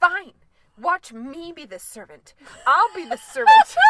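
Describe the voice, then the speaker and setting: A whiny, put-on character voice at an extremely high pitch and fairly slow pace. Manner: huffy, sulking.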